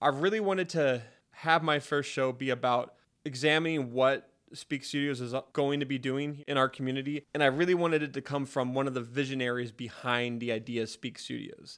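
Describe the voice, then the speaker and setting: A man with an American accent speaks in a normal speaking voice, fairly high in pitch, at a fairly quick pace with fairly even intonation, on a very clean recording with a silent background. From Spokane, Washington. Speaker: podcast host. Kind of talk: scripted intro; casual interview.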